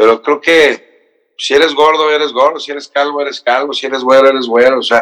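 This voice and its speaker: A man's fairly high voice in a monotone, flat intonation at a very fast pace. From Mexico, raised in Cancún. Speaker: actor and TV morning show host. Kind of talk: casual interview chat.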